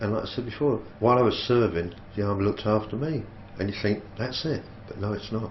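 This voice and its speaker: Speaking at a very fast pace, a man has a fairly low pitch. There is audible room echo and noticeable background noise. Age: 60s. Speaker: army veteran. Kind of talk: interview testimony.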